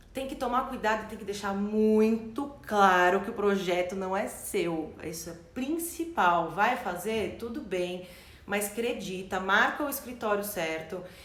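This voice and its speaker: The speech moves at a fairly slow pace. Room echo is audible, and background noise is noticeable. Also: woman, medium pitch for a woman. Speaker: branding and marketing consultant. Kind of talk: live stream talk with Q&A. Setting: online live stream.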